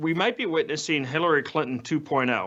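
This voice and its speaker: A man with an American accent speaks at a moderate pace and a fairly high pitch. His intonation is lively. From Boston area, US Northeast. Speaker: political journalist. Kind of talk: news discussion.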